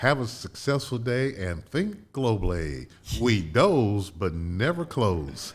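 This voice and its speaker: Somewhat breathy and very slow, the voice carries an American accent and very wide pitch swings. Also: man, fairly low pitch for a man. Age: 70s. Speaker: entrepreneur. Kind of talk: podcast interview. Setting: studio.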